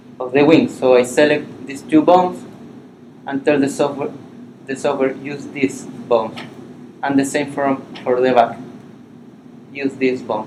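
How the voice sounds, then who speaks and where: Against noticeable background noise, a man with a fairly high pitch and a Spanish accent speaks at a moderate pace with fairly even intonation and long, frequent pauses. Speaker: animation software instructor. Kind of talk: workshop tutorial. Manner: halting.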